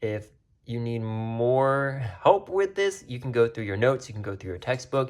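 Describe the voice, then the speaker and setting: Against a quiet background, a man talks at medium pitch with lively intonation. His loudness swings widely. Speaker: math teacher. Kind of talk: tutorial. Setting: recorded video. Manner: fast.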